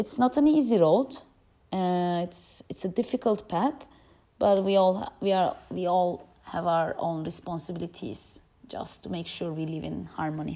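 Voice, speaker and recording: A woman speaks at a moderate pace with a Turkish accent. Her fairly low voice has a dark, mellow tone and lively intonation. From Turkey. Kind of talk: testimony.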